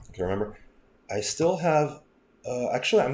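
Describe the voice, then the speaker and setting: A man with a dark, mellow tone and vocal fry talks fairly quickly, his pitch swinging very widely. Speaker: software tutorial creator. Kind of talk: screen-recorded software tutorial. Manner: casual with self-corrections.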